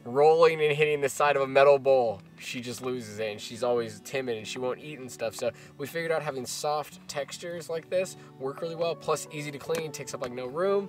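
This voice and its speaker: A man talks at a fairly quick pace with ordinary pitch variation and big swings in loudness. The sound is dry with no echo, and clear music plays in the background. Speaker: travel vlogger. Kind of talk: casual product walkthrough. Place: car.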